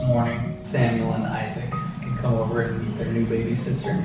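Music plays in the background as a man talks at a fairly quick pace, with audible room echo. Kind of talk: casual vlog chat.

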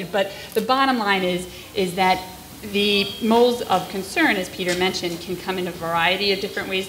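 A woman with an American accent speaks at a moderate pace and medium pitch in a normal speaking voice, her intonation fairly even over light background noise. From Long Island, New York; New York. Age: 30s. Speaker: pediatrician; public presenter. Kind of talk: lecture. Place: classroom. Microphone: podium.

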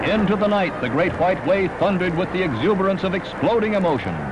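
Over noticeable background noise, a man with a high pitch talks at a very fast pace in a dramatic, energetic tone. His loudness stays very even while his pitch varies in an ordinary way. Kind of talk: newsreel narration.

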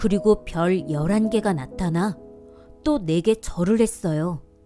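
Music plays in the background as a woman speaks. Her tone is gentle, with ordinary pitch variation. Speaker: voice actor. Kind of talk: bedtime Bible story reading for children. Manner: soft-spoken, gentle.

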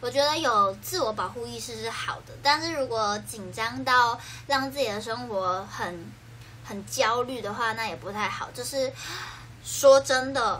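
Her tone is animated, with big swings in loudness, at a fairly slow pace. Light background noise sits behind the woman. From Taiwan, Keelung; Taiwan. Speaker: idol livestreamer. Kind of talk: casual livestream chat. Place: home room. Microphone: phone near.

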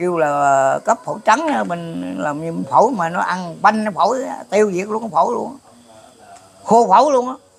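The man's intonation is lively. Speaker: folk religious elder; elder storyteller. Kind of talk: prophecy explanation interview. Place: garden. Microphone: lapel.

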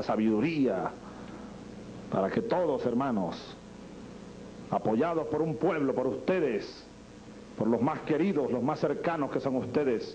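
The speaker moves at a fairly slow pace with lively intonation and very even loudness, leaving long, frequent pauses. Light background noise is present. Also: man. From Venezuela. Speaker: president of Venezuela. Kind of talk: improvised political speech. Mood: solemn, emotional, rhetorical. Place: hall. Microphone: podium.

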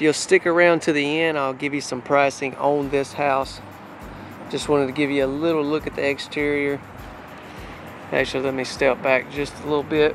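Monotone, flat delivery at a moderate pace, with music in the background and a dry sound with no echo. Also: man. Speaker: home sales channel host. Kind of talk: casual vlog chat. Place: street. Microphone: phone near.

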